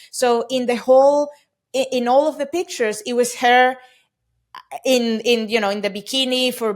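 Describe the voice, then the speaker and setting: A woman with a Spanish accent talks at a moderate pace in a high pitch, keeping her intonation fairly even. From Venezuela. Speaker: e-commerce company CEO. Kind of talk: podcast interview.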